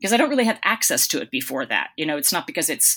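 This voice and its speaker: The woman's tone is bright and sharp. Her pitch varies in an ordinary way. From US Northeast, Boston area. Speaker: nonfiction author. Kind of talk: interview.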